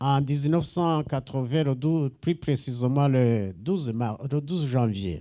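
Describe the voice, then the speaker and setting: A man's dark, mellow tone with a Rwandan accent, very slow with hardly any pauses and very even loudness. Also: medium pitch for a man, ordinary pitch variation. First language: Kinyarwanda (speaking French). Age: 70s. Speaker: visiting pastor. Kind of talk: church greeting with interpreter. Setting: church.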